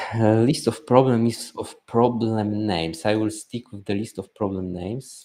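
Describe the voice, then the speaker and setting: Mumbling from a man, fairly low in pitch and dark and mellow in tone, with big swings in loudness and hardly any pauses. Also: ordinary pitch variation, moderate pace. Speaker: business coach streamer. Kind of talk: live stream screen-share walkthrough. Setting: live stream with screen share. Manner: halting.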